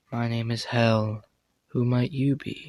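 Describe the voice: A man puts on a character voice with a calm, sinister tone. His pitch is medium and his pace fairly slow.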